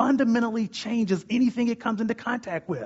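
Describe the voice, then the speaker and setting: A man talks loudly at a fairly quick pace. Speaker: preacher. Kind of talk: sermon. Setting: stage with audience. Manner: fast talker, loud.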